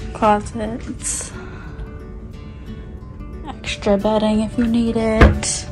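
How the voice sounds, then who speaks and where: A woman at a very slow pace with long, frequent pauses, over clear background music. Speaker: travel vlogger. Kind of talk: casual cabin tour talk to camera. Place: home room. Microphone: phone near.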